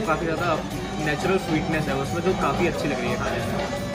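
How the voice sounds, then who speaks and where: Clear background music behind a man's voice. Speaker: food vlogger. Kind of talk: food review vlog chat.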